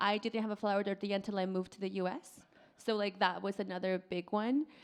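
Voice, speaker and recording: A woman's medium-pitched voice at a very fast pace, over a quiet background. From Mexico, Oaxaca. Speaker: restaurant owner. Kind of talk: live podcast interview. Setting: stage with audience. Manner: animated.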